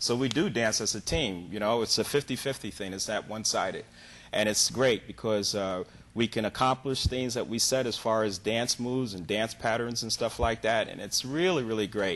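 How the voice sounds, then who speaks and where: Against a quiet background, a man speaks in a plain, everyday voice at medium pitch and a moderate pace, with ordinary pitch variation. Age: 60s. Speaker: dance teacher. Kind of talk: TV interview.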